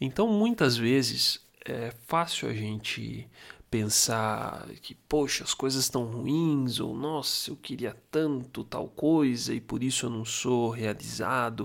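A man speaks at a very slow pace in a relaxed tone. The recording is very clean, with a silent background. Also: medium pitch for a man, ordinary pitch variation. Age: 30s. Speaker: podcaster. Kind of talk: casual monologue.

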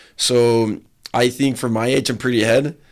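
Intonation stays fairly even in a very clean recording with a silent background. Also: man. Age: 20s. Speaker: athlete and entrepreneur, event organizer. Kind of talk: casual interview. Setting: studio.

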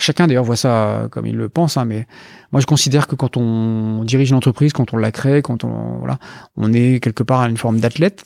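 The man has an unremarkable speaking voice, medium in pitch with ordinary pitch variation, going at a fairly quick pace in a very clean recording with a silent background and a dry, close sound with no echo. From France, Brittany (Brest). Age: 40s. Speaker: investment fund founder. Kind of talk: interview.

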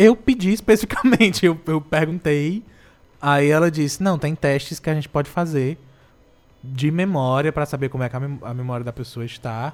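A man speaks at a moderate pace in a fairly high pitch, with a plain, everyday voice. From Brazil, Ceará (Morada Nova). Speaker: radio host. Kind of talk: casual chat. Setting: radio studio.

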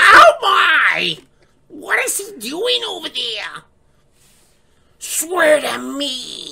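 Spoken in a put-on character voice, this high-pitched delivery moves at a very slow pace with long, frequent pauses. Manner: shrill, nagging.

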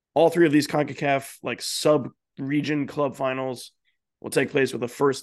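Against a quiet background, a man with an unremarkable speaking voice talks at a moderate pace and a fairly high pitch. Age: 20s. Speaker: soccer podcast co-host. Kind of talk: casual chat with scripted news rundown.

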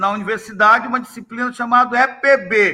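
In a raised, projected voice, a man speaks with an extremely high pitch and a bright, sharp tone. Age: 60s. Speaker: history teacher and textbook author. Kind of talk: interview.

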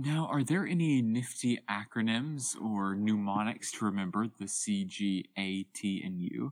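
A man with a plain, everyday voice speaks at a fairly slow pace and medium pitch, with lively intonation and hardly any pauses. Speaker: co-host, college student.

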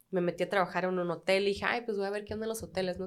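The woman's intonation stays fairly even. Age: 30s. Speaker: bartender. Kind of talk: casual chat.

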